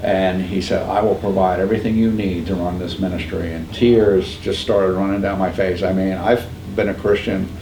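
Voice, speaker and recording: Monotone and flat, a man with an American accent and a very deep, low pitch talks at a moderate pace amid audible room echo and noticeable background noise. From upstate New York. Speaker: pregnancy center founder. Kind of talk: podcast interview.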